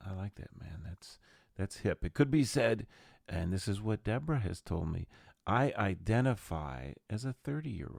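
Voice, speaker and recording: On a very clean recording with a silent background and a dry, close sound with no echo, a man speaks at a moderate pace in a fairly low pitch, with very wide pitch swings and big swings in loudness. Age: 60s. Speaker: podcast host and jazz musician. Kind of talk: casual solo podcast monologue. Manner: animated.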